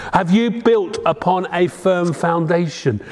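The man's voice is high in pitch with ordinary variation, and noticeable background noise fills the recording. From England, Devon. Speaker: preacher. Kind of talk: sermon.

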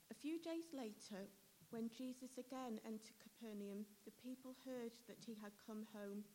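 A woman speaks in a plain, everyday voice with a fairly high pitch. Her pace is moderate, and her pitch varies in an ordinary way. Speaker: scripture reader. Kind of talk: reading aloud. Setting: church.

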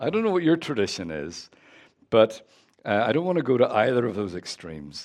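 In a Northern Irish accent, a man at medium pitch talks at a fairly quick pace with very wide pitch swings. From Northern Ireland. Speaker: guest preacher. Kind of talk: sermon. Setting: church.

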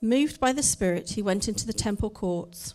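With a dark, mellow tone, this voice moves at a fairly quick pace and carries lively intonation. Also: woman. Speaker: scripture reader. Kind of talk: reading aloud. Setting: church.

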